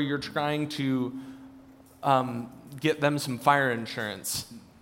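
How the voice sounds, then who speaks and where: Audible room echo fills this recording. The voice belongs to a man. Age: 20s. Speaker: church staff member. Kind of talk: church Q&A session. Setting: church service with congregation.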